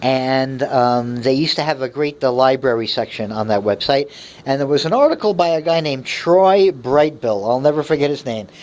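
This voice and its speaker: The delivery moves at a moderate pace. Hardly any pauses break it up. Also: man, fairly high pitch for a man, ordinary pitch variation. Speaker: aquarium hobbyist vlogger. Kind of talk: casual explanatory rant. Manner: hesitant, many fillers.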